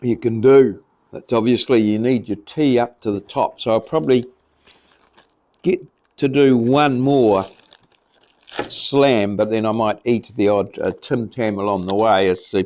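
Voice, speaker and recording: With a New Zealand accent, a man speaks at a fairly slow pace. He leaves long, frequent pauses. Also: medium pitch for a man, ordinary pitch variation. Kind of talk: casual talk to camera. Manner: rambling, relaxed.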